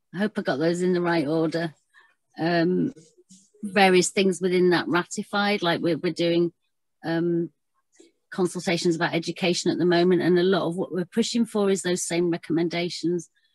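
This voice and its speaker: A woman with an unremarkable speaking voice talks at a moderate pace, her fairly low pitch held in fairly even intonation. The sound is dry with no echo, over a quiet background. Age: 40s. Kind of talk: online panel presentation. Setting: video call. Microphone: video call.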